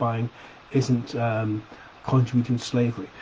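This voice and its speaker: A man speaks in a flat monotone with a Sheffield accent over noticeable background noise. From Sheffield, England. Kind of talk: opinion video to camera. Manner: casual, hesitant.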